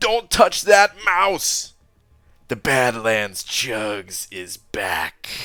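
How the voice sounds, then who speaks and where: A man uses a loud, raspy, put-on character voice at a medium pitch. He speaks very slowly with very wide pitch swings. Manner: enthusiastic.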